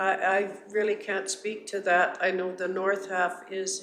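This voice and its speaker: Audible room echo surrounds a woman's voice. She talks at a very slow pace in a monotone, flat intonation. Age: 80s+. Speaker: landowner applicant. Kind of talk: public statement at council meeting. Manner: halting.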